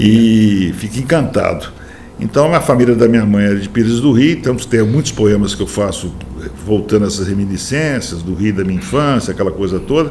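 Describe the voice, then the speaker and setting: A man with a fairly low pitch talks at a fairly quick pace with lively intonation, over noticeable background noise and audible room echo. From Brazil, Minas Gerais and Goiás. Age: 70s. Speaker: poet and writer. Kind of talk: interview. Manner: animated.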